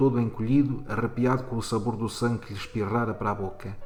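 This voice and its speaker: Over music in the background, a man at a medium pitch speaks at a moderate pace in a monotone, flat intonation. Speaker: teacher. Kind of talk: short story reading.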